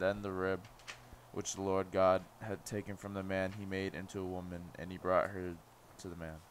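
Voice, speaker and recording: Over light background noise, a man with a very deep, low pitch speaks at a moderate pace in a monotone, flat way. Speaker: class member. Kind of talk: reading scripture aloud.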